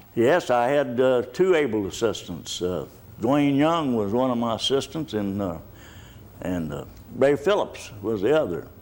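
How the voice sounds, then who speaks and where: The voice, with a Texan accent, moves at a fairly slow pace through very wide pitch swings. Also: man, medium pitch for a man. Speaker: retired city official, war veteran. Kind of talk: interview. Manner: halting.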